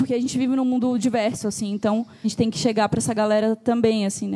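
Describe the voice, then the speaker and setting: A woman's fairly high voice with a dark, mellow tone and monotone, flat intonation. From southern Brazil, Joinville, Santa Catarina. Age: 30s. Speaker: illustrator and designer. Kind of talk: live panel discussion.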